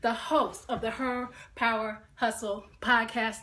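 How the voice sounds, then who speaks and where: An American accent over noticeable background noise. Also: woman. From New York. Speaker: podcast host. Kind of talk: live stream chat. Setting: live video stream at her workplace. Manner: animated.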